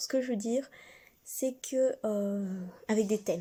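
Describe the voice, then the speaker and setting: Soft-spoken and dark, mellow in tone, a woman speaks at a fairly high pitch with fairly even intonation. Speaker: online shop owner and video creator. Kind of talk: casual product presentation vlog. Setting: at home, parents nearby.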